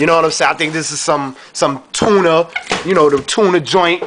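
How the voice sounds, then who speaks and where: A man's voice with noticeable background noise. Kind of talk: casual cooking vlog chat. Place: kitchen. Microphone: phone near.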